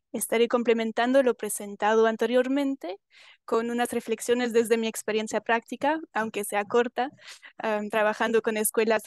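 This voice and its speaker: A woman speaks at a moderate pace with a non-native accent and a fairly high pitch. The background is quiet, and the sound is dry and close with no echo. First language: not Spanish (speaking Spanish). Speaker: panelist working with rural schools. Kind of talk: panel talk with slides. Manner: halting, with fillers and self-corrections.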